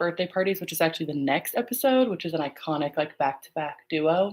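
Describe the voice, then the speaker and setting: Speaking quietly at a fairly quick pace, a woman uses lively intonation and a fairly low pitch. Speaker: podcast host. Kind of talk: casual solo watch-along chat. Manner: casual, filler-heavy.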